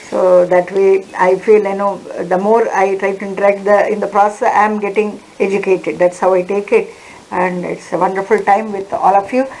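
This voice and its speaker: A woman speaks at a medium pitch and a moderate pace in a monotone, flat intonation. Noticeable background noise runs behind her. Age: 60s. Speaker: forensic science lecturer. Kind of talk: online lecture; closing remarks. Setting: online webinar.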